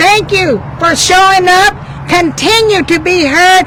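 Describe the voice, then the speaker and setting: A woman's extremely high voice at a fairly slow pace, with ordinary pitch variation and noticeable background noise. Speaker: labor union representative. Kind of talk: rally speech. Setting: outdoor union rally with crowd, handheld mic. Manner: loud.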